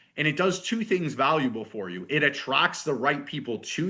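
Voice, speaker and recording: A man speaks at a moderate pace in a bright, sharp tone. His pitch swings very widely against a quiet background. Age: 40s. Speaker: fitness business coach. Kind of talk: online workshop.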